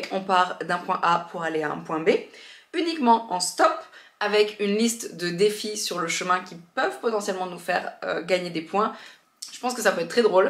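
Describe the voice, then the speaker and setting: A woman's medium-pitched voice shows ordinary pitch variation, broken by long, frequent pauses. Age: 30s. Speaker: podcaster and YouTuber. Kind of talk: vlog. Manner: fast; casual, hesitant fillers.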